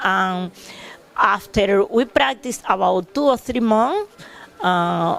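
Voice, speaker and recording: A woman speaks at a medium pitch with a Cuban accent. Her intonation is lively and her pace very slow. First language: Spanish. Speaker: special education teacher. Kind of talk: testimonial tribute. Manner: halting.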